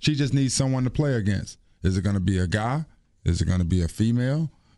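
A man speaks at a fairly quick pace in an animated tone, his pitch swinging very widely. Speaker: radio host. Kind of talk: morning radio show banter. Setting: radio studio. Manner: animated, joking.

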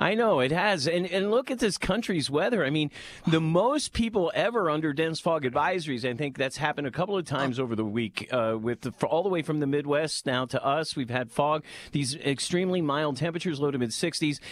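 Using an ordinary speaking voice, a man with an American accent talks at a fairly quick pace with hardly any pauses. His pitch is fairly high and his intonation lively. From Pennsylvania, Lancaster. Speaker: meteorologist.

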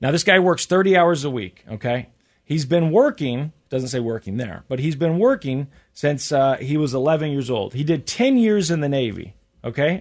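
The intonation is lively in an ordinary speaking voice. The recording is very clean, with a silent background. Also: man, fairly high pitch for a man, moderate pace. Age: 30s. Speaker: podcast co-host. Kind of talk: casual chat.

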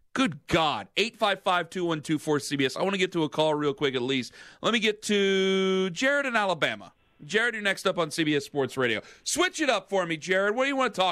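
Raised and projected, a man's high voice rings out in a bright, sharp tone with very wide pitch swings. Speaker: sports radio host. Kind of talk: sports talk radio. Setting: studio. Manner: animated; fast.

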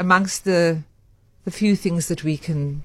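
Somewhat breathy, the voice proceeds at a fairly slow pace. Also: woman. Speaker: radio correspondent on trending stories. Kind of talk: casual radio chat.

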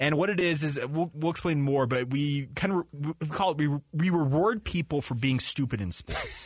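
A man with an American accent speaks in a fairly high, somewhat breathy voice. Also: ordinary pitch variation, moderate pace. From Utah. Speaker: sports radio host. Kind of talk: casual chat. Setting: studio.

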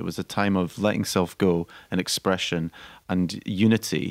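Recorded with a dry, close sound and no echo, a man speaks with a Scottish accent. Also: very clean recording, silent background. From Scotland. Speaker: actor-director, theatre founder. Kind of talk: radio interview. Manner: halting.

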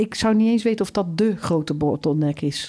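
Her tone is dark and mellow, and this woman's intonation is lively. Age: 50s. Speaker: campus circularity director. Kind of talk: interview.

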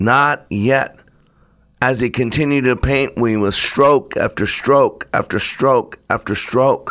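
A man speaks at a fairly slow pace in a fairly high voice, with a bright, sharp tone and ordinary pitch variation. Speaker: podcast host and storyteller. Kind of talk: dramatic storytelling narration. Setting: podcast recording. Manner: animated, expressive, shifting into character voices; measured, preacher-like delivery.

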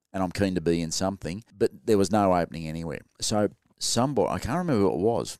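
An Australian-accented man talks at a very fast pace with lively intonation and a very deep, low pitch, recorded dry and close with no echo on a very clean track with a silent background. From Sydney, Australia. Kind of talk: casual interview.

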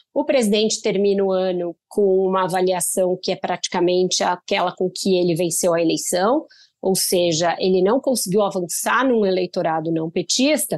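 With a quiet background and a dry, close sound with no echo, a woman of medium pitch speaks in a plain, everyday voice, using ordinary pitch variation and hardly any pauses. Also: moderate pace, very even loudness. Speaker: political journalist. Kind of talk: interview.

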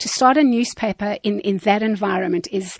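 Recorded dry and close with no echo, a woman talks in a plain, everyday voice at medium pitch, moderate pace and ordinary pitch variation. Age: 50s. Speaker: media trainer and communications consultant. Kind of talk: radio interview.

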